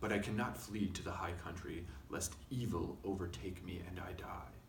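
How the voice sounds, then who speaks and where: There is audible room echo and light background noise around a man's voice. He speaks at a moderate pace with ordinary pitch variation. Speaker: reader. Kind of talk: reading aloud from a book. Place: studio.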